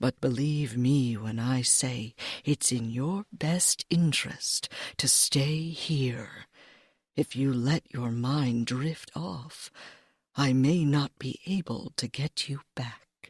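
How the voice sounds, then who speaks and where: Using a put-on character voice, a woman speaks very slowly at a very deep, low pitch. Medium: read story. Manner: bossy, protective.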